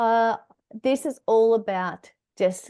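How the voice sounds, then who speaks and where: In an Australian accent, a woman speaks at a very slow pace with ordinary pitch variation and a dark, mellow tone. The sound is dry and close with no echo, over a quiet background. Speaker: decluttering workshop presenter. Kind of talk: online workshop presentation.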